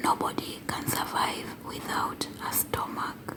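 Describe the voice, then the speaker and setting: Noticeable background noise surrounds the speaker. The words are whispered at a very slow pace. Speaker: English teacher for learners. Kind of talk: educational ASMR lesson for English learners. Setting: close-mic with writing sounds. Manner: whispered, slow, clear.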